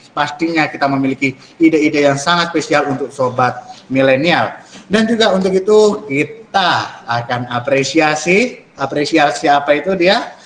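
Amid audible room echo and light background noise, a man talks at a moderate pace with a fairly high pitch. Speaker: student moderator. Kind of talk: event MC. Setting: video call. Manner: formal, upbeat. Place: home room. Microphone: webcam.

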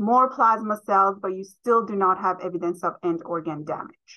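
Woman's bright, sharp tone at a moderate pace with ordinary pitch variation. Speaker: presenter. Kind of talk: lecture. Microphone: webcam.

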